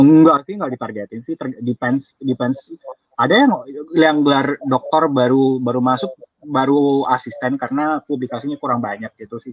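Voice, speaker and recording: The sound is dry and close with no echo as a man with a normal speaking voice talks at a moderate pace, with a medium pitch and ordinary pitch variation. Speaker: university lecturer. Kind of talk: casual interview.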